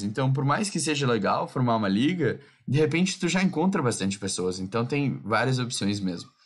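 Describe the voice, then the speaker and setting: With a plain, everyday voice, a man speaks at a moderate pace, his fairly high pitch carried by lively intonation. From southern Brazil. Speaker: podcast host.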